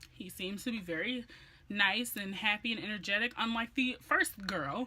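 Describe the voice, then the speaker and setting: An animated tone over noticeable background noise. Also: woman. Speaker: beauty and lifestyle vlogger. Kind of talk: story time vlog. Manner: loud.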